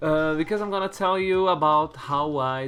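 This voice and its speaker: A man with a non-native accent speaks at a moderate pace and ordinary pitch variation while music plays in the background. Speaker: YouTuber and singer. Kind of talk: casual vlog talk. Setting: in his room. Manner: halting, with restarts.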